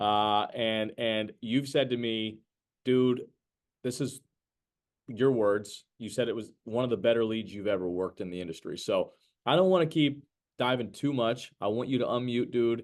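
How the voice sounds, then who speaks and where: Speaking with a slight New Jersey accent, a man talks at a moderate pace with ordinary pitch variation. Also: medium pitch for a man. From New Jersey, US. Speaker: sales trainer. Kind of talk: sales training webinar. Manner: animated.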